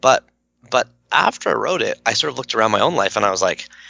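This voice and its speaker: A man with a slight Canadian accent, talking very fast, in a dry, close recording with no echo. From Canada. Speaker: author and blogger. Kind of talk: podcast interview. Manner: casual, filler-heavy.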